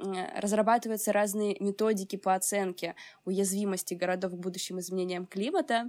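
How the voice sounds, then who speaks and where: She has an ordinary speaking voice, a woman at medium pitch talking at a moderate pace. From Ukraine, Odesa. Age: 20s. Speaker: climatology student and climate activist. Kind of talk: interview.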